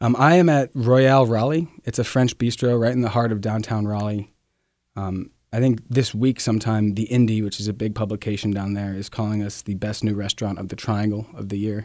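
On a very clean recording with a silent background, a man with an ordinary speaking voice talks at a fairly low pitch and a fairly quick pace, his intonation fairly even. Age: 20s. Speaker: chef. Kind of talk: casual interview.

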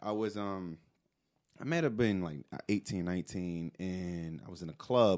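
In a New York accent, a man is talking. The pace is moderate. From New York City. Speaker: podcast co-host, advertising professional. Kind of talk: casual chat. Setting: studio.

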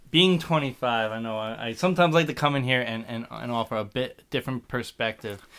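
In a very clean recording with a silent background, a man with a New Jersey accent speaks at a fairly quick pace in a bright, sharp tone, medium pitch and ordinary pitch variation. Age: 20s. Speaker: podcast guest, young producer. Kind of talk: casual chat.

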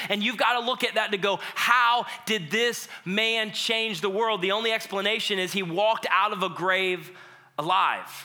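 Raising and projecting his high voice, a man speaks in an animated tone at a moderate pace, with music in the background and audible room echo. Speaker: pastor. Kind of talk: sermon. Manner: loud.

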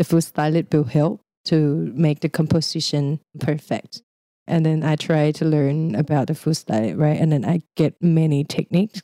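Speaking with a Thai accent, a woman with a very deep, low pitch and a dark, mellow tone keeps a moderate pace, ordinary pitch variation and very even loudness, in a dry, close sound with no echo. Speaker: creative freelancer. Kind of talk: interview. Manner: lighthearted, laughs often.

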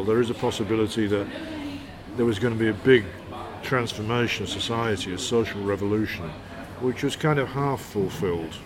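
With audible room echo and noticeable background noise, a man speaks at medium pitch and a fairly quick pace with ordinary pitch variation. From northern England, Hull. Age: 60s. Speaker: poet and author. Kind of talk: interview.

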